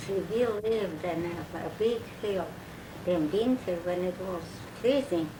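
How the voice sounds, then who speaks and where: A woman at medium pitch with ordinary pitch variation, a fairly slow pace and long, frequent pauses, against noticeable background noise. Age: old. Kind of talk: oral history interview. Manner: hesitant, halting.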